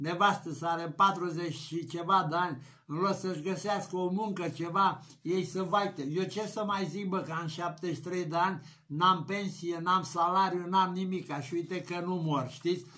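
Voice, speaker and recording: This man speaks at a fairly slow pace. His pitch is high. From Romania. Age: 70s. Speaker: YouTuber. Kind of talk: vlog rant. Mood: indignant, mocking rant. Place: home room. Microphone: webcam.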